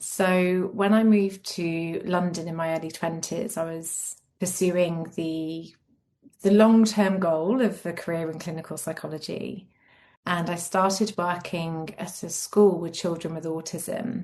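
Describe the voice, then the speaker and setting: Against a quiet background, a woman with an English accent speaks fairly slowly in a fairly low pitch, her intonation fairly even. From England. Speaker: clinical psychologist and yoga therapist. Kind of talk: interview.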